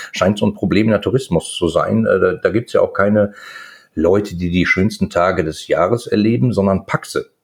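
A man talks at a fairly quick pace over a quiet background. His loudness stays very even. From Ruhr area, Germany. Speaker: chemist and e-commerce entrepreneur. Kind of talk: casual interview chat.

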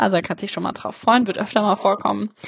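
With noticeable noise in the background, a woman talks at a medium pitch. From Germany. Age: 30s. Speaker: podcast host. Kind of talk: solo podcast intro monologue. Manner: animated.

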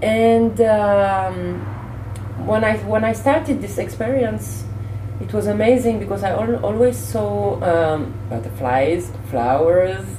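A woman with a French accent and a very deep, low pitch, speaking at a very slow pace with ordinary pitch variation, amid noticeable background noise and audible room echo. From Senegal. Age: 30s. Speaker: fitness presenter and choreographer. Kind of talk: interview. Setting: hotel lobby. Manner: halting.

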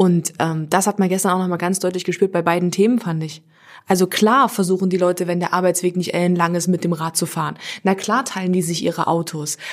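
A woman talks at a fairly quick pace in a normal speaking voice, fairly low in pitch, with fairly even intonation. The recording is very clean, with a silent background. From Halle, eastern Germany. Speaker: radio presenter. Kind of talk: casual chat.

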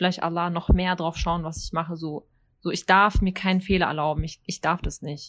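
A woman speaks in a fairly low pitch. Her intonation is monotone and flat. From Germany. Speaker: teacher. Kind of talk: casual chat.

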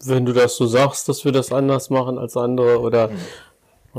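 This man speaks at a moderate pace with a medium pitch. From Ruhr area, Germany (Ennepetal). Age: 50s. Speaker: parish pastor. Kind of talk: casual interview chat. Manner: direct.

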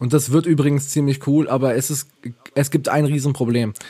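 A man speaks at a moderate pace with fairly even intonation, a somewhat breathy quality, a fairly high pitch, and a dark, mellow tone. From Ravensburg, Swabia (southern Germany). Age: 20s. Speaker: podcast co-host. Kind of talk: casual chat.

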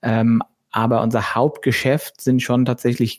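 A man talks at a fairly slow pace in an ordinary speaking voice of medium pitch. The recording is very clean with a silent background, and the sound is dry and close with no echo. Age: 40s. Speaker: entrepreneur. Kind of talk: interview.

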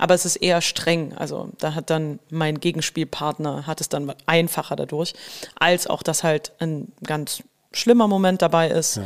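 Fairly low in pitch, a woman with an unremarkable speaking voice talks at a moderate pace with ordinary pitch variation. The recording is very clean, with a silent background. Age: 30s. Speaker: musical actress. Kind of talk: casual chat. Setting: podcast studio.

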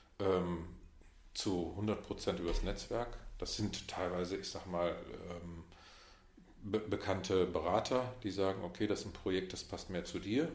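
A man's very deep, low voice at a fairly slow pace, with ordinary pitch variation, long, frequent pauses and audible room echo. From Westphalia, Münster. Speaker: management consultant. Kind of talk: casual interview. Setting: in-person meeting in Munich.

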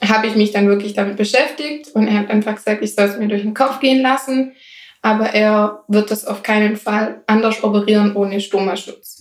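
The voice belongs to a woman and sits fairly high in pitch. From Swabia, Germany. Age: 20s. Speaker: ostomy patient. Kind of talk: casual interview.

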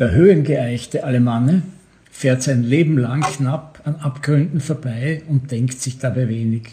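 Somewhat breathy and dark, mellow in tone, a man with a fairly high pitch speaks at a fairly slow pace with ordinary pitch variation. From Austria, Vorarlberg (Bregenz). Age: 70s. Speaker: author and newspaper editor. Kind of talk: reading aloud from his novel.

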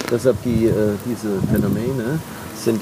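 Noticeable background noise runs under this man's voice. His intonation stays fairly even. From Nahe region, Rhineland-Palatinate, Germany. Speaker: winemaker. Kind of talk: casual conversation during a vineyard walk. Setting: outdoors in vineyards. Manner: hesitant, many fillers.

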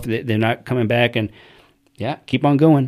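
A man with an American accent and an ordinary speaking voice, at a medium pitch with ordinary pitch variation and a moderate pace. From United States. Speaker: military veteran. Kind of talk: casual chat.

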